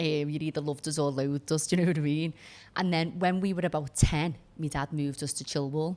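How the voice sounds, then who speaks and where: A woman's very deep, low voice at a very fast pace, flat and monotone, in a very clean recording with a silent background. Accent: Liverpool. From Liverpool, England (Kensington, North End). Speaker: former barrister, entrepreneur. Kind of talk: podcast interview.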